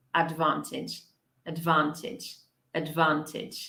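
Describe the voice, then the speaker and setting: At a fairly slow pace, a woman speaks in a bright, sharp tone with audible room echo. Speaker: English teacher. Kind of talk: live online pronunciation lesson. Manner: slow, repeating words for clarity.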